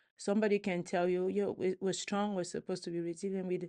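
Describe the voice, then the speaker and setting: The speaker has a French accent and a dark, mellow tone. Delivery is fairly quick and monotone, flat in intonation, over a quiet background. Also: woman. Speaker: physician and researcher. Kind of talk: interview.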